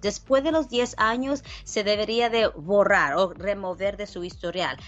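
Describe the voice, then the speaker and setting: At a fairly slow pace, a woman speaks at a medium pitch in an unremarkable speaking voice with ordinary pitch variation. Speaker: lawyer. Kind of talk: radio legal advice call-in segment.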